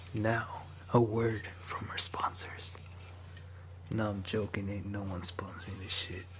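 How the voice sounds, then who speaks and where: Someone whispers at a fairly slow pace, with long, frequent pauses and noticeable background noise. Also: man. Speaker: ASMR creator. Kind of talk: ASMR video. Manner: whispered. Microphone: studio mic.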